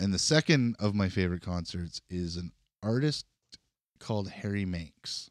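A normal speaking voice, a man with a Canadian accent at a fairly low pitch, moderate pace and lively intonation, dry and close with no echo on a very clean recording with a silent background. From Canada, northwestern Ontario (Kenora). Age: 40s. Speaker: podcast co-host. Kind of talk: casual chat.

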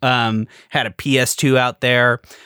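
A man with an ordinary speaking voice and medium pitch talks at a fairly slow pace, in a very clean recording with a silent background and a dry, close sound with no echo. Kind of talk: casual chat.

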